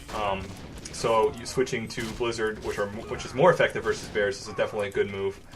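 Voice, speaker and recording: The speaker has an American accent and talks at a very fast pace. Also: man. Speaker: game commentator. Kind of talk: live commentary. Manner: many filler pauses.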